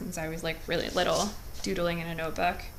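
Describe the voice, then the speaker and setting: In a room with audible echo, a woman speaks at a moderate pace. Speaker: art teacher. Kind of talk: tutorial. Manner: casual, filler-heavy.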